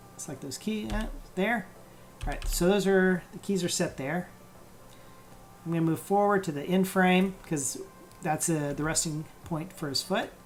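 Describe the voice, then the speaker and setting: Mumbled speech at a moderate pace, broken by long, frequent pauses. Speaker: animation tutorial streamer. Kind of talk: live-streamed software tutorial. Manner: mumbling, thinking aloud; halting, many fillers.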